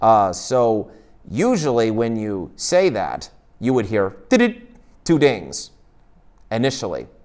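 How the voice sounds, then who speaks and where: Over a very clean recording with a silent background, a man with a medium pitch speaks at a fairly slow pace with lively intonation. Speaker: user group presenter. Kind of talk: tech presentation. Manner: hesitant, filler words.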